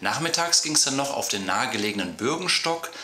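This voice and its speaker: A man's voice with audible room echo. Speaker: travel vlogger. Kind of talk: video intro to camera. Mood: friendly, upbeat. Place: studio.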